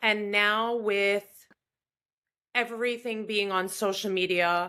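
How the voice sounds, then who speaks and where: Speaking very slowly in a New York accent, a woman with a medium pitch and a bright, sharp tone keeps a monotone, flat intonation on a very clean recording with a silent background. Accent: New York American. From US Northeast, Long Island, New York. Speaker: opera singer. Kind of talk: interview conversation.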